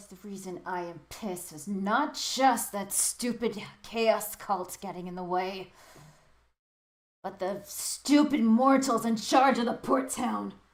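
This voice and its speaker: A gruff, put-on character voice moves at a fairly slow pace. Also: female-sounding voice, medium pitch for a woman. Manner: irritated, complaining.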